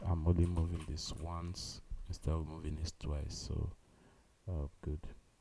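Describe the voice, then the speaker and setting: A man's very deep, low voice, dark, mellow and somewhat breathy, at a fairly slow pace with fairly even intonation. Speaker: coding livestreamer. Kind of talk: live coding stream. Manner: halting.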